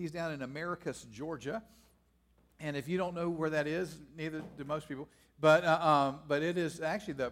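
Here a man talks in a normal speaking voice. His pitch is fairly high and his pace fairly quick. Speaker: pastor. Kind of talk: church announcements and introduction. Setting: church.

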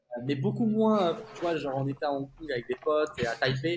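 A man talks at a fairly quick pace with a fairly high pitch. Noticeable background noise runs underneath. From France. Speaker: tech sales executive, expatriate. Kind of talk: casual interview chat.

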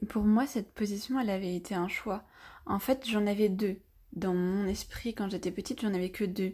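Dark and mellow in tone, a woman speaks at medium pitch with fairly even intonation. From France, with childhood stays in Brazil. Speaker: podcast guest sharing personal story. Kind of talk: personal testimony.

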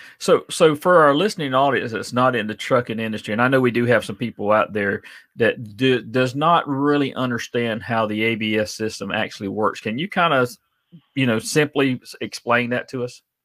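Recorded very cleanly with a silent background, a man with a Southern US accent speaks at a moderate pace in a medium pitch with ordinary pitch variation. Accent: Southern US (Georgia). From South Georgia (Adel), US South. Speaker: podcast host, trucker. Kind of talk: casual interview.

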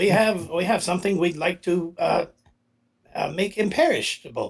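The speaker uses a put-on character voice at a middle pitch, moving at a fairly slow pace. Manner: gruff, bargaining.

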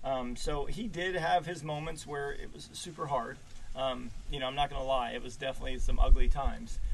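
Amid noticeable background noise and audible room echo, a man with a fairly high pitch and ordinary pitch variation talks at a fairly quick pace, his loudness swinging widely. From Maryland, US East Coast. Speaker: podcast host being interviewed. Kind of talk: casual interview over whiskey.

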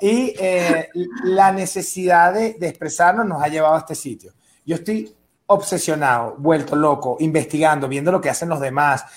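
A man speaks with a Venezuelan accent. His pitch is fairly high and varies in an ordinary way. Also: moderate pace. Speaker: stand-up comedian. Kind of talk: panel discussion. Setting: video call from Mexico City.

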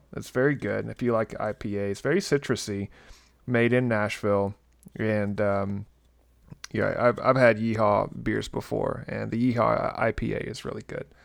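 Someone with a Southern US accent talks at a moderate pace in a very clean recording with a silent background. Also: man. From Tennessee. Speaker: podcast host. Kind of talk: casual chat.

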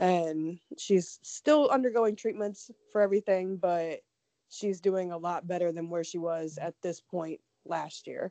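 A woman with an American accent and an unremarkable speaking voice talks at a fairly slow pace. Her fairly low pitch follows fairly even intonation in a dry, close sound with no echo. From Ohio. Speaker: true crime podcast co-host. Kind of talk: casual chat.

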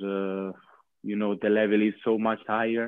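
Monotone, flat intonation at a fairly slow pace. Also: man. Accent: Italian. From Italy, near Bologna. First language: Italian. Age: 20s. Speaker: professional handball player. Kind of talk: interview. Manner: halting.

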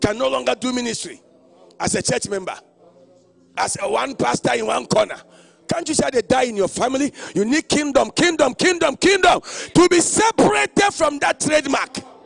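Against noticeable background noise, a man with an extremely high pitch and very wide pitch swings talks in an animated tone at a moderate pace, the sound dry and close with no echo. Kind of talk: sermon. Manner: animated, loud, call-and-response: commanding the crowd to shout and say 'kingdom'.

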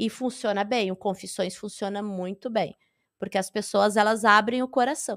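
This woman talks at a moderate pace with a slight gaúcho accent. Her voice sits at a medium pitch, and her intonation stays fairly even. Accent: slight southern Brazilian (gaúcho). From Rio Grande do Sul, southern Brazil. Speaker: stand-up comedian. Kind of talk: casual interview chat.

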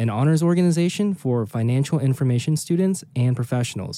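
This man has a plain, everyday voice and an American accent. He talks fairly quickly with lively intonation on a very clean recording over a silent background. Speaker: podcast co-host and accountant. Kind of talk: casual chat, podcast introduction. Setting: studio in Las Vegas.

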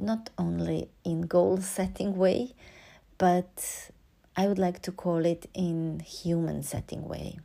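A woman with a Serbian accent speaks in a calm tone at a very slow pace. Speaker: podcast host and oboist. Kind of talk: reflective solo monologue. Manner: calm, hesitant with fillers.

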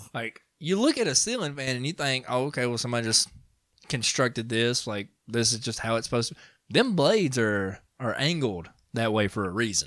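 A man with an ordinary speaking voice talks at a fairly quick pace and medium pitch, with ordinary pitch variation. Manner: joking.

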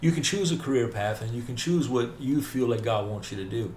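Speaking with a Southern US accent, a man keeps a moderate pace at medium pitch, his intonation lively. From US South, north Mississippi. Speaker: faith podcast host. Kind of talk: casual interview about faith.

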